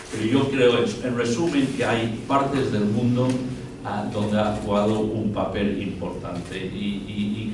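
Fairly even intonation from a man, with noticeable background noise and audible room echo around him. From Spain and England. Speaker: journalist and writer. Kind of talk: panel discussion. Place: hall.

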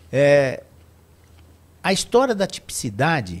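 A man's fairly high, somewhat breathy voice moves through very wide pitch swings. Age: 60s. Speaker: wine association director; podcast guest. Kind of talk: casual chat. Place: studio. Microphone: studio mic.

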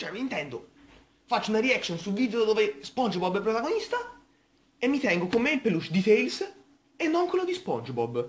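A man races along at a very fast pace. His pitch swings very widely. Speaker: reaction video creator. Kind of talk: casual vlog chat. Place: home room. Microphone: webcam.

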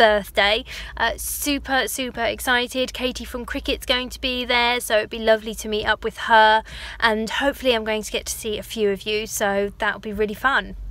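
A woman talks at a moderate pace with big swings in loudness, and the sound is dry with no echo. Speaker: craft vlogger. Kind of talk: casual vlog chat. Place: car. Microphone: phone near.

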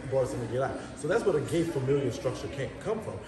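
Noticeable background noise behind a man speaking. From New Orleans, Louisiana (7th Ward). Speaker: social media personality. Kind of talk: casual chat. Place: home room.

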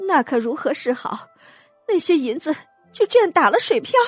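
Over faint music in the background, a woman puts on a shaky character voice at an extremely high pitch, swinging very widely in pitch at a moderate pace.

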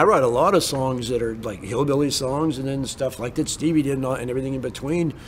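Over noticeable background noise, a man with an American accent talks at a very fast pace with hardly any pauses. His pitch is medium, with ordinary variation. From US Pacific Northwest (Bremerton, Washington). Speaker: songwriter and musician. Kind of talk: casual interview storytelling.

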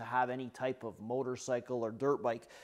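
With nothing but quiet in the background, a man is talking. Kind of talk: casual vlog chat. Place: workshop.

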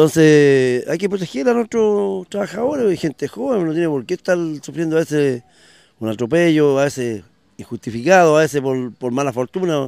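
At a moderate pace, a man with a fairly high voice makes very wide pitch swings in a very clean recording with a silent background and a dry, close sound with no echo. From Chile, O'Higgins region (Quinta de Tilcoco). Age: 40s. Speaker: local politician. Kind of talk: interview.

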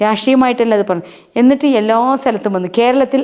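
Noticeable background noise is present. A woman speaks at a fairly high pitch with ordinary pitch variation. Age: 50s. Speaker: social worker. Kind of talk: interview.

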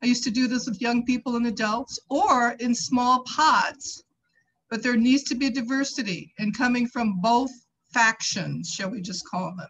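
Moderate pace, ordinary pitch variation and an American accent, over light background noise. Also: woman, high pitch for a woman. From US Midwest. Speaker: community advocate with doctorate. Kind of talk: public testimony. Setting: video call. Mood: earnest, persuasive. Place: home room.

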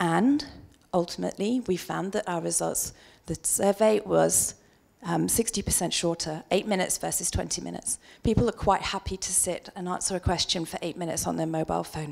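A woman with a British accent against a quiet background. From UK. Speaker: market researcher; conference presenter. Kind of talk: conference presentation. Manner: quick. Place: hall. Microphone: handheld.

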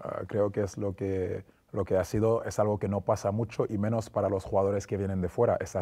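Somewhat breathy and dark, mellow in tone, a man with a fairly low pitch talks at a moderate pace. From Senegal. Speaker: former basketball player; interview guest. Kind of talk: interview. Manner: hesitant with fillers. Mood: calm, reflective, friendly. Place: studio. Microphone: lapel.

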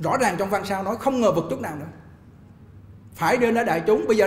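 Speaking at a fairly quick pace with lively intonation, a man with a high pitch is heard over audible room echo. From Vietnam. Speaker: Buddhist monk teacher. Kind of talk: Dharma talk lecture. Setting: temple hall, live streamed online. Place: hall. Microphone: podium.

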